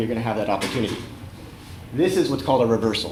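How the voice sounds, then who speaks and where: An American-accented man speaks at a medium pitch. Audible room echo and noticeable background noise surround his voice. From California, San Francisco Bay Area. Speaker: web developer and community organizer, conference speaker. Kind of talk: conference talk. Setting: stage with audience. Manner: fast.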